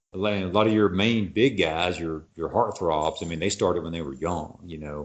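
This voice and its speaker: A man with a very deep, low pitch and a strong Texas accent talks at a moderate pace. His pitch variation is ordinary, while his loudness swings widely. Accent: Texas, noted as strong. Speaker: actor. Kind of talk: casual chat.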